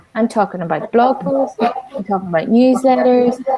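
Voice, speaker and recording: A woman talks at a moderate pace with ordinary pitch variation. Noticeable background noise sits behind her. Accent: Northern Irish. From Northern Ireland. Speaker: business coach. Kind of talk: online talk.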